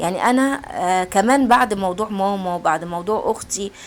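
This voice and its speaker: A woman's voice sits at a medium pitch, moving at a moderate speed with ordinary pitch variation. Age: middle-aged. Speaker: home cooking and routine vlogger. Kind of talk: casual chat to viewers. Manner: halting, repeating words.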